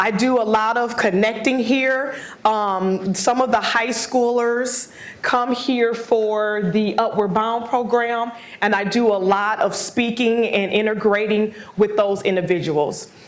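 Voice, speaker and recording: Audible room echo around a fairly high-pitched woman's voice. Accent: American. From Wisconsin (Milwaukee). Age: 40s. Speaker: motivational speaker. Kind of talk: lecture. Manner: loud.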